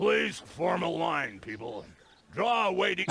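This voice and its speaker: Using a put-on character voice, a man speaks fairly slowly at a fairly high pitch with very wide swings. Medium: video game.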